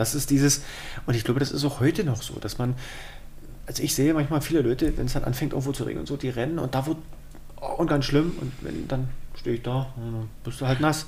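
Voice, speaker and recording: There is audible room echo as a man of medium pitch talks at a very fast pace, leaving long, frequent pauses and keeping his intonation fairly even. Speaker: podcast co-host. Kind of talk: casual chat.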